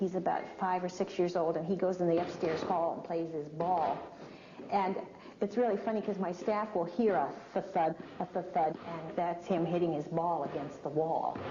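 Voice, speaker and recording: A woman's fairly low voice at a moderate pace, with fairly even intonation and noticeable background noise. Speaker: museum director. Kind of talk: interview answer.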